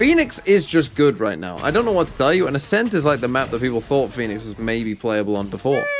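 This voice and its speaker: Speaking at a very fast pace with hardly any pauses, a man with an English accent uses a medium pitch and very wide pitch swings over noticeable background noise. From England. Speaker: valorant co-streamer. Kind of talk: casual chat.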